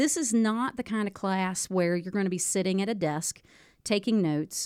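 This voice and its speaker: An unremarkable speaking voice with an American accent, at a moderate pace and with ordinary pitch variation. The sound is dry and close, with no echo. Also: woman. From West Virginia. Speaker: high school teacher and radio broadcaster. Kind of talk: casual interview chat.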